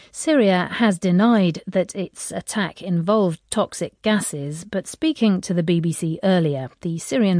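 Against a quiet background, a woman with a fairly low pitch and a dark, mellow tone speaks with lively intonation, the sound dry and close with no echo. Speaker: radio news presenter. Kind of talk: formal newsreading, scripted broadcast headlines delivered crisply. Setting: studio. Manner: formal, measured, authoritative, steady.

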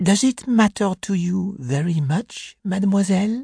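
A put-on character voice at a moderate pace and middle pitch, over a quiet background. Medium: read story. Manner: polite, measured.

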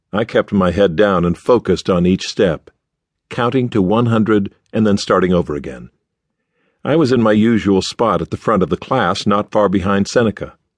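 A normal speaking voice from a man, fairly low in pitch with ordinary pitch variation at a moderate pace, in a dry, close sound with no echo. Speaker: audiobook narrator. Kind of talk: dramatic audiobook narration. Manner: measured, storytelling pace with shifts in voice for characters; serious, formal.

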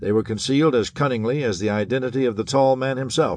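A man speaks in a dramatic tone. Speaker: audiobook narrator. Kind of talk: scripted audiobook narration of a 1930s pulp thriller, dramatic and suspenseful. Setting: studio. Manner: dramatic, urgent, brisk storytelling with tense, hard-boiled emphasis.

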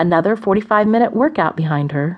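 Over a quiet background, a woman at medium pitch speaks in a dramatic tone with very wide pitch swings. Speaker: audiobook narrator. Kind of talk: dramatic audiobook narration of a romance novel. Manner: expressive, measured storytelling pace with dramatic pauses.

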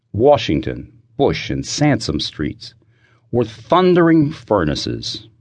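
Over a quiet background, a man speaks at a very slow pace with very wide pitch swings and vocal fry. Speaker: audiobook narrator and author. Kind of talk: dramatic audiobook narration of a historical disaster scene. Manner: vivid, suspenseful storytelling building tension through the fire.

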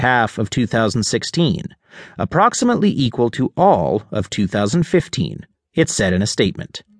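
A man speaks at a moderate pace in a medium pitch, his voice swinging very widely up and down, with a dry, close sound and no echo. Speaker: audiobook narrator. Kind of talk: audiobook-style news article reading. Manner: formal, steady, even-paced newsreader delivery.

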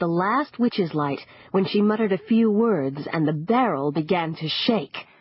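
The intonation moves in a lively way. The passage is simply read out loud.

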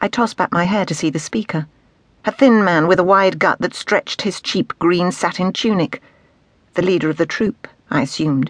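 In a dry, close sound with no echo, a woman with an unremarkable speaking voice keeps a medium pitch and moderate pace, her pitch varying in an ordinary way. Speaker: audiobook narrator. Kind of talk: dramatic audiobook narration.

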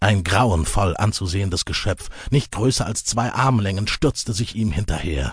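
Against a quiet background, a man uses a dramatic tone, a somewhat breathy, fairly low voice, a moderate pace and ordinary pitch variation. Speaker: audiobook narrator. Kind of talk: dramatic audiobook narration of epic fantasy. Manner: suspenseful, vivid, building tension in action scenes; measured, storytelling pace with dramatic emphasis.

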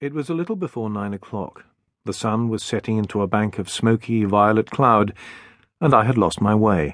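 Against a quiet background, a man with an ordinary speaking voice talks at a moderate pace, his fairly low pitch carrying ordinary variation. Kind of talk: dramatic audiobook narration, first-person ghost story read aloud.

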